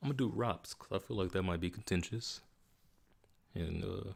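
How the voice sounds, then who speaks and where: A man talks at a fairly quick pace in a very deep, low pitch. His tone is relaxed, and the recording is very clean with a silent background. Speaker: gaming streamer. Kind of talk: casual live stream commentary. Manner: relaxed, casual.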